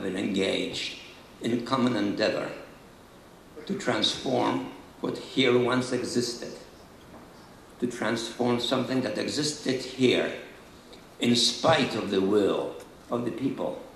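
In a room with audible echo and light background noise, a man speaks at a fairly slow pace with ordinary pitch variation and long, frequent pauses. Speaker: speaker. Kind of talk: formal speech. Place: stage. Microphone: podium.

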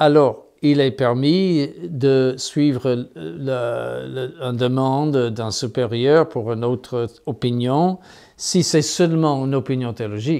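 A man with an American accent speaks at a very slow pace in a dark, mellow tone. His pitch is medium with ordinary variation, and the background is quiet. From United States. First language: English (speaking French). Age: 70s. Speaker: bishop. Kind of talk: interview. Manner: halting, many hesitations. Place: office.

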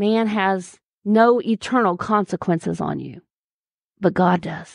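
A woman's plain, everyday voice, medium pitch and fairly even intonation over a quiet background

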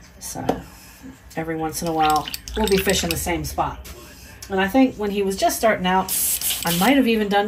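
A woman with an American accent at a fairly quick pace, against noticeable background noise. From Maryland. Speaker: lure painter and fishing channel host. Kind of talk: casual chat; tutorial. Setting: home workshop.

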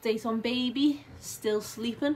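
A woman with a Liverpool accent, ordinary pitch variation and light background noise. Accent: Scouse. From Liverpool, England. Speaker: stay-at-home mum vlogger. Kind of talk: casual talk to camera. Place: home room. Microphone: phone near.

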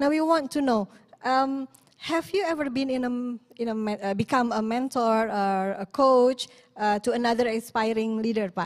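Speaking with an Indonesian accent, a woman uses a high pitch, ordinary pitch variation and a moderate pace. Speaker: event host. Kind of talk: webinar moderation.

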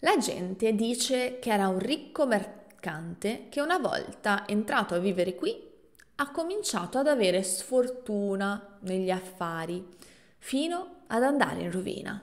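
A woman talks fairly slowly with lively intonation over a quiet background. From Italy. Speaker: language teacher podcaster; Italian language teacher. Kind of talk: storytelling narration; tutorial. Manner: clear and slow. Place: home room. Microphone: studio mic.

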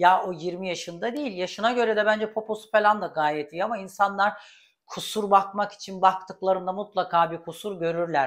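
Against a quiet background, a woman speaks at a moderate pace and medium pitch with ordinary pitch variation. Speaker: YouTube celebrity gossip commentator; gossip vlogger. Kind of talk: casual vlog commentary. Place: kitchen. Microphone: lapel.

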